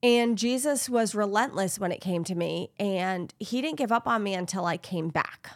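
A woman speaks at a moderate pace with hardly any pauses, in an unremarkable speaking voice. Her medium pitch shows ordinary variation, and the recording is very clean with a silent background. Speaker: podcast host. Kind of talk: casual chat.

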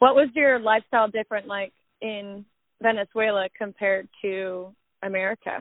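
Speaking in a normal speaking voice at a moderate pace, a woman of medium pitch keeps her intonation fairly even while her loudness swings widely. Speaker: podcast host. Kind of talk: casual interview chat.

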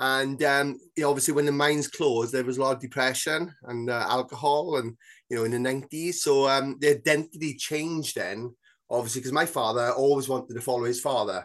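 At a fairly quick pace, a man with a South Wales Valleys accent talks at a medium pitch with fairly even intonation. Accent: South Wales Valleys Welsh English. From Wales, South Wales Valleys (Bridgend). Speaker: author and mental health campaigner. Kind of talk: casual interview chat. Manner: hesitant, many fillers.

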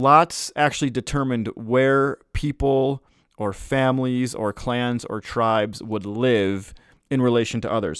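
In an ordinary speaking voice, a man with an American accent talks at a fairly slow pace, medium in pitch with ordinary pitch variation. The sound is dry and close with no echo, on a very clean recording with a silent background. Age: 30s. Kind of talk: devotional talk.

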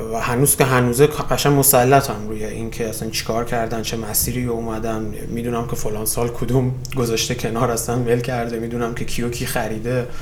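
A man speaks in a monotone, flat intonation with hardly any pauses, over noticeable background noise and audible room echo. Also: medium pitch for a man, fairly quick pace. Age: 30s. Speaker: startup founder and CEO. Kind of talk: casual interview.

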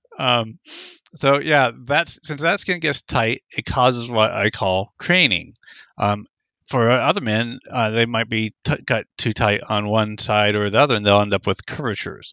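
A man with an American accent speaks in a normal speaking voice at medium pitch, fairly slowly, with ordinary pitch variation. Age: 50s. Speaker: circumcision opponent, activist. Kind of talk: interview.

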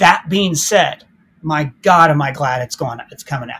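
A man with an American accent speaks at a moderate pace in an ordinary speaking voice with a fairly high pitch. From Ohio. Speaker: YouTube film critic. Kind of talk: casual chat.

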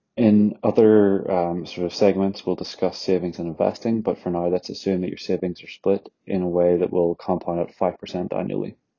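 A man speaks with a very deep, low pitch and a monotone, flat intonation. His pace is moderate, with hardly any pauses. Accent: Northern Irish. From Northern Ireland. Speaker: finance content creator. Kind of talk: educational explainer monologue. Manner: casual, conversational.

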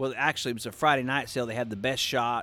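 A man with an American accent has an unremarkable speaking voice. His pitch is medium and his intonation fairly even. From Oklahoma, Pawnee. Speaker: sheep breeder. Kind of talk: casual chat. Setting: livestock show.

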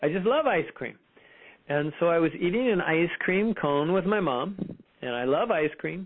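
A high-pitched man with an American accent, lively intonation and a moderate pace. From US West Coast, Fremont, California. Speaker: spiritual healer, OCD survivor. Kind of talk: interview, personal testimony.

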